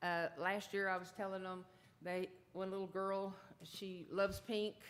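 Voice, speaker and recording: A woman with a Texan accent. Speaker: mayor chairing city council meeting. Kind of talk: public meeting chairing. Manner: loud. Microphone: keeps mic away, may sound quiet.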